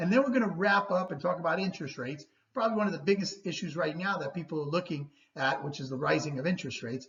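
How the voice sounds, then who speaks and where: A woman's somewhat breathy, fairly low voice at a very fast pace, with lively intonation. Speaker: real estate agent. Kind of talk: market report presentation. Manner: animated.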